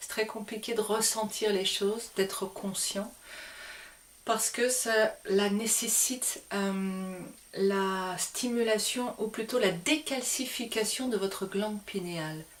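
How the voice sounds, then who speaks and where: Speaking at a very slow pace, a woman has a fairly high pitch and ordinary pitch variation. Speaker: spiritual teacher. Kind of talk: spiritual talk to camera. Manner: hesitant fillers.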